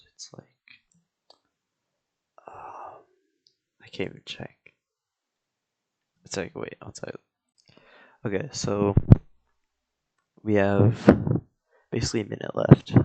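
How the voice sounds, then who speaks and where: A man mumbles at a fairly slow pace with big swings in loudness and long, frequent pauses. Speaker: content creator drawing on camera. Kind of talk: casual vlog talk. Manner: mumbling; hesitant, filler-heavy.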